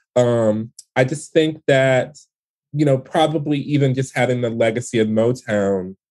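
A man with an ordinary speaking voice and a medium pitch talks at a moderate pace with ordinary pitch variation over a quiet background. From Detroit, US Midwest. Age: 40s. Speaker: playwright. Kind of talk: interview. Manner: casual, many fillers.

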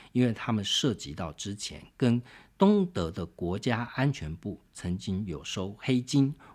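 A man's unremarkable speaking voice, fairly low in pitch, at a fairly slow pace with lively intonation, in a very clean recording with a silent background. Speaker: podcast host, book reviewer. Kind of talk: solo book review monologue.

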